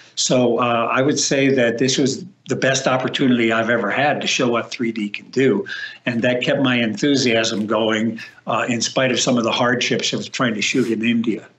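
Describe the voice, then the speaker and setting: Over noticeable background noise, a man with a medium-pitched voice talks at a moderate pace with fairly even intonation. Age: 70s. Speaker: film stereographer. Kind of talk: interview.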